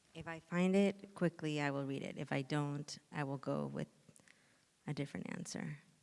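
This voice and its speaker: In a slight Spanish accent, a woman speaks at a moderate pace. Her voice is very deep and low, with ordinary pitch variation. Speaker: author. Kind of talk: panel conversation. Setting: stage with audience.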